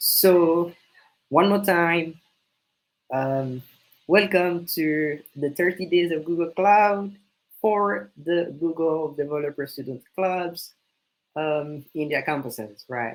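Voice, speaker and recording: The speaker uses a French accent at a very slow pace, leaving long, frequent pauses. Pitch varies in an ordinary way. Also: man, high pitch for a man. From French-speaking country. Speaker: student club leader. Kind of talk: introductory session presentation. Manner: hesitant, many fillers.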